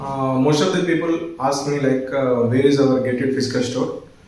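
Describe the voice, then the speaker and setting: There is audible room echo and noticeable background noise as a man speaks at medium pitch and moderate pace with ordinary pitch variation. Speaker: small business owner. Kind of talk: promotional announcement. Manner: halting, with many fillers.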